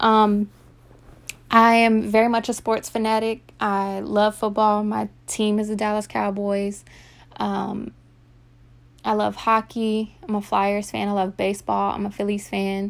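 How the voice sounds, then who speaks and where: A woman's medium-pitched voice with an American accent, monotone and flat, at a fairly slow pace in a very clean recording with a silent background. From Virginia, US. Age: 20s. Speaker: podcast host. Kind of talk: casual monologue.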